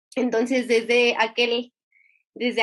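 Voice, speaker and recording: This woman talks at a very slow pace. Her voice sits high in pitch. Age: 20s. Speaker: competitive swimmer. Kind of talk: interview testimony. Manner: halting.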